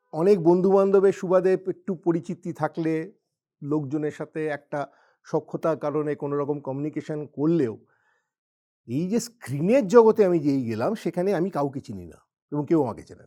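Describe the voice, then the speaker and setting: A man's fairly high voice with a dark, mellow tone, ordinary pitch variation and big swings in loudness, dry and close with no echo, on a very clean recording against a silent background. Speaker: actor and businessman. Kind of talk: motivational talk.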